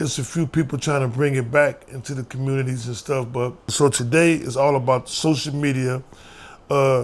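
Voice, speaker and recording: A man with an American accent talks at medium pitch in a monotone, flat intonation. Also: moderate pace. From US Midwest, St. Louis, Missouri. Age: 60s. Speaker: former prisoner and youth mentor. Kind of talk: interview testimony.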